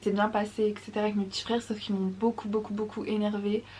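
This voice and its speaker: This woman's voice sits fairly high in pitch. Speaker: vlogger. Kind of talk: casual vlog talk to camera. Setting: at home, early morning. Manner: fast; keeping voice down.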